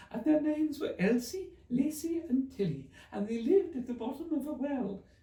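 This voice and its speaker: In a put-on character voice, a man speaks at a moderate pace, extremely high and hoarse, with a slight echo. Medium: read story.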